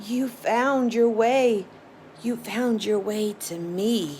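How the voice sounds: Putting on a croaky character voice, a woman speaks at a very slow pace and fairly high pitch with ordinary pitch variation, over clear background noise.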